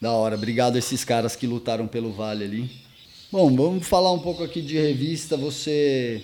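Speaking fairly quickly, this man has a medium pitch and ordinary pitch variation. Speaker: skate magazine interviewer. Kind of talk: interview.

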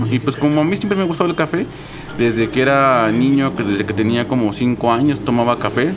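Speaking in a Mexico City accent at medium pitch and a fairly quick pace, a man shows ordinary pitch variation over noticeable background noise. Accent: Mexico City Spanish (chilango). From Mexico City, Coyoacán. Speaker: coffee shop owner and roaster. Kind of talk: interview. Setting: coffee shop.

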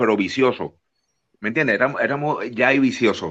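A man with an unremarkable speaking voice, medium pitch and ordinary pitch variation against a quiet background. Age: 50s. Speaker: wrestling TV personality. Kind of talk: casual interview.

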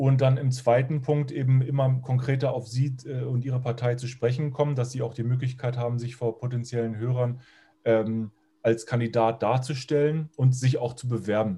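A man talks at a moderate pace in a medium-pitched, dark, mellow voice. He sounds somewhat breathy, with flat, monotone intonation. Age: 40s. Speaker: podcast interviewer. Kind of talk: interview. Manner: halting, many fillers.

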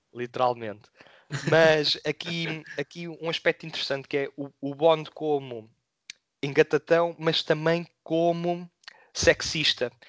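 Very slow, fairly even speech in a dry, close sound with no echo. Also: man, fairly high pitch for a man. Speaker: film podcast co-host. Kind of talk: casual film review discussion.

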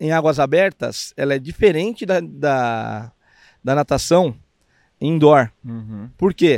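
Delivered at a very slow pace, the speech has lively intonation and a dry, close sound with no echo. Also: man, very clean recording, silent background. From Brazil, São Paulo (east zone). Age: 50s. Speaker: swimming coach. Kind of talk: casual interview. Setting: outdoors on the beach.

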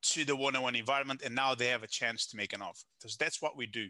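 A man speaks with a Portuguese accent. His voice is fairly high, with a bright, sharp tone. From Portugal. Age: 30s. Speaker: business consultant. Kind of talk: casual interview. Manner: halting, self-correcting.

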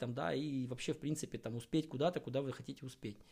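The man's voice sits at medium pitch and has a dark, mellow tone. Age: 30s. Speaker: podcast host and amateur endurance athlete. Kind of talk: solo podcast monologue on fitness. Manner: casual, with filler hesitations.

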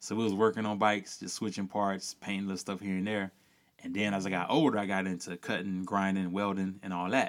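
A man with a Louisiana accent talks at a very fast pace in a fairly low pitch, his intonation monotone and flat. The recording is very clean, with a silent background. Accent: Louisiana Southern US. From rural Louisiana. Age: 30s. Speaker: cyclist. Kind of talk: casual chat.

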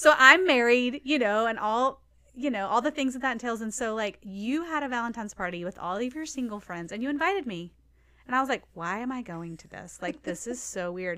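With a Southern US accent, a woman speaks at a moderate pace with a fairly high pitch and a bright, sharp tone. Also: very clean recording, silent background. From Nashville, Tennessee. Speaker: church staff member and nonprofit leader. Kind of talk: casual chat. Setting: studio.

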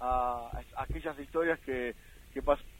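A man speaks at a fairly slow pace. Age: 40s. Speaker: sports radio panelist. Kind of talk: casual sports talk radio. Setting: in a car.

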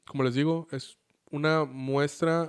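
This man's voice sits fairly high, and its pitch varies in an ordinary way. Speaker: anime podcast host. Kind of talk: casual chat.

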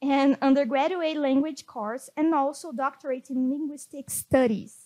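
This woman speaks with a Portuguese accent at a moderate pace. Her voice is high-pitched. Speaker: podcast host. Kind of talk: scripted intro; interview in English.

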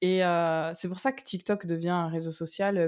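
In a very clean recording with a silent background, a woman with an unremarkable speaking voice talks fairly slowly at a medium pitch. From southern France. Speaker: copywriter and ghostwriter. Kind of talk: casual interview.

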